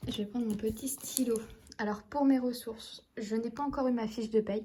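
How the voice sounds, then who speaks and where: A woman's fairly high, somewhat breathy voice with a dark, mellow tone, flat monotone delivery and a moderate pace. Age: 20s. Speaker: budgeting vlogger. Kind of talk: casual vlog talk to camera. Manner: hesitant, many fillers.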